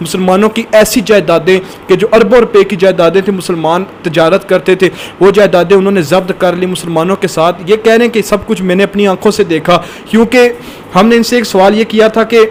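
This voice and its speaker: A man speaks in a high voice with fairly even intonation. Noticeable background noise sits behind him. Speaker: news channel host. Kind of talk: news-style report to camera.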